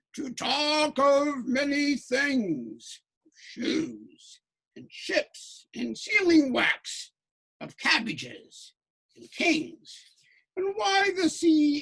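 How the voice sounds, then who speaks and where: Delivered very slowly, the speech is in a put-on character voice. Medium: read story. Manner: smooth, grandiloquent.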